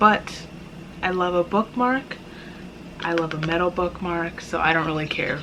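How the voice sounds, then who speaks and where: This woman has a fairly low pitch and ordinary pitch variation at a moderate pace. Background noise is noticeable. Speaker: book vlogger. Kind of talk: casual unboxing vlog. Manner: casual, self-correcting with stumbles.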